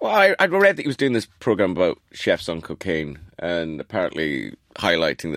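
This man talks at a fairly quick pace with lively intonation and vocal fry. The sound is dry and close, with no echo. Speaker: chef and restaurateur. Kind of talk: casual chat.

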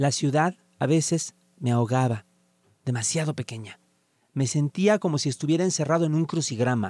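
A man speaks at a moderate pace with long, frequent pauses. His pitch is fairly high, with ordinary variation. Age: 40s. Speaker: writer. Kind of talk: reading aloud.

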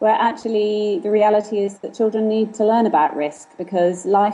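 A woman with a plain, everyday voice speaks at a moderate pace, her medium pitch showing ordinary variation. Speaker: author. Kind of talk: casual interview. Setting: phone call.

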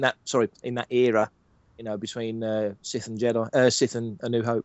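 At a very fast pace, a man talks in a medium pitch with an English accent. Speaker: fan site writer and podcaster. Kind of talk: casual chat.

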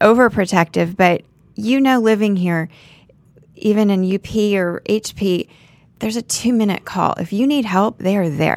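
A woman with an American accent speaks at a moderate pace and medium pitch. She has a normal speaking voice. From Florida (Naples). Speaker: real estate agent. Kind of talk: casual interview.

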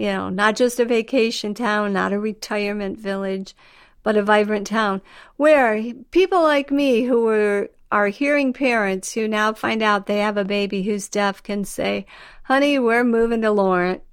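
Fairly high in pitch, a woman speaks at a moderate pace with ordinary pitch variation and a plain, everyday voice. The recording is very clean, with a silent background. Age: 60s. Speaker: interviewee, mother-in-law of deaf town founder. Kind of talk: casual interview.

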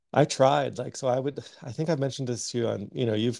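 A man with a Canadian accent speaks at a fairly quick pace. His medium-pitched voice shows vocal fry. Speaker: artist and podcast co-host. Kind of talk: casual chat. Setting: at home on a remote call.

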